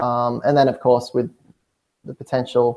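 A man talks at a medium pitch. He speaks with an Australian accent. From Hunter region, New South Wales, Australia. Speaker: cycling team manager. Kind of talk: interview.

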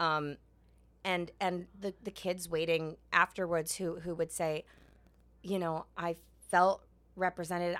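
Very slowly and with fairly even intonation, a woman speaks at a fairly low pitch with a New York accent. The recording is very clean, with a silent background. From New York City. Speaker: Broadway actress. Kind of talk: interview. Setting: theater backstage room.

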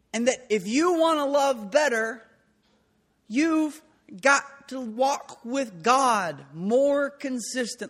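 Pitched extremely high, a man speaks very slowly with ordinary pitch variation. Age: 30s. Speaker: pastor. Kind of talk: sermon. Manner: halting.

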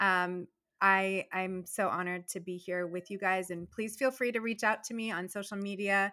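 Using an ordinary speaking voice, a woman with an American accent talks at a moderate pace in a medium pitch with fairly even intonation. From Virginia, US, Persian family. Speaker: dentist and entrepreneur guest. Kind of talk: casual interview chat. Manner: warm, effusive.

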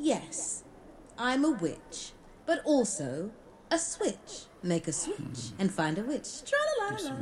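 A put-on character voice, female-sounding and high-pitched, moves in a sing-song way at a fairly slow pace. Clear background noise sits behind it. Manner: whimsical, riddling, sing-song.

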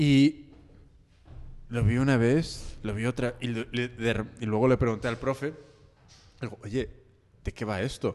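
A man speaks at a medium pitch with fairly even intonation. His pace is fairly slow, broken by long, frequent pauses. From California, US. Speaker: podcast host. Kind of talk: casual chat. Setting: studio. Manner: halting.

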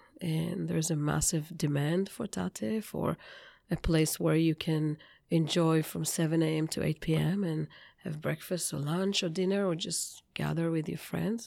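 A woman speaks in an Israeli accent at a fairly slow pace. Her voice is very deep and low, with a dark, mellow tone. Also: ordinary pitch variation. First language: Hebrew. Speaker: bakery founder. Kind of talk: interview. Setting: studio.

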